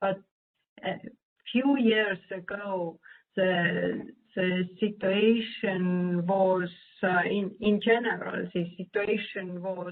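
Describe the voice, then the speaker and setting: Very slow, monotone speech with flat intonation, a non-native accent, and long, frequent pauses. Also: woman. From Nordic country. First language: not English. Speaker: statistician presenter. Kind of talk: Q&A answer at virtual meeting. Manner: halting, many hesitations.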